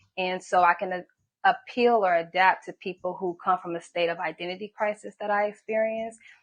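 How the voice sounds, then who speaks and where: A woman uses a normal speaking voice with an American accent, medium pitch and fairly even intonation. The sound is dry and close with no echo, over a quiet background. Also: fairly quick pace. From Hawthorne, Los Angeles area, California. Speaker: massage therapist and singer. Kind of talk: interview.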